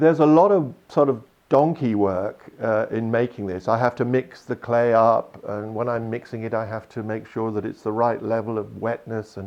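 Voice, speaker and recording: A man with a plain, everyday voice speaks at a moderate pace with hardly any pauses, his medium pitch moving with ordinary variation. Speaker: sculptor. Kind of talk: interview answer.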